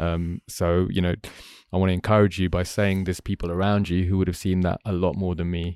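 A man with a London accent, very deep and low in pitch, flat and monotone, at a fairly quick pace, dry and close with no echo, on a very clean recording with a silent background. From London, England. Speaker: podcast host. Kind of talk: casual chat. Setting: studio.

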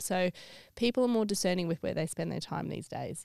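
This voice belongs to a woman. Her speech carries an Australian accent. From Australia (Sydney). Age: 30s. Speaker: stadium events sales manager. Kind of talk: casual interview chat.

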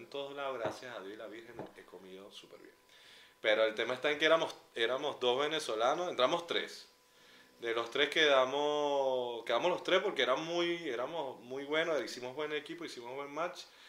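A man with a fairly high pitch talks at a moderate pace with ordinary pitch variation. His loudness swings widely, and the room echo is audible. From Venezuela, San Cristóbal (Andes). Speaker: podcast co-host, publicist. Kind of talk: casual chat. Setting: outdoors at a concert.

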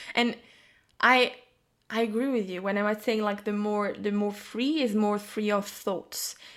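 On a very clean recording with a silent background, a woman speaks at a medium pitch. Her pace is fairly slow and her intonation fairly even. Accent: French. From France. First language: French. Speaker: psychic and intuitive business mentor. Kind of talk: casual chat.

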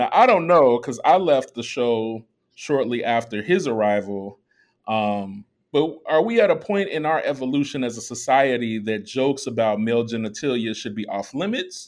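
A man with a plain, everyday voice speaks at medium pitch. His intonation is lively, and he talks with an American accent. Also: moderate pace. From Chicago. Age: 40s. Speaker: podcast host. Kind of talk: casual chat.

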